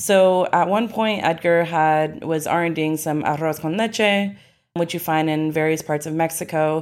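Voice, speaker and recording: A woman with fairly low pitch speaks at a fairly slow pace in an unremarkable speaking voice. Her intonation is fairly even, and the recording is very clean with a silent background. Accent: American. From Arkansas, US (Ozarks). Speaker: restaurant owner. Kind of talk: interview.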